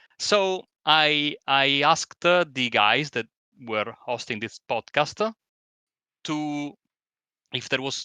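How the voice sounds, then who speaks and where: In an Italian accent, a man with a fairly high pitch and a bright, sharp tone speaks with ordinary pitch variation, the sound dry and close with no echo against a quiet background. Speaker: sim racing commentator. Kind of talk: casual chat. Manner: halting.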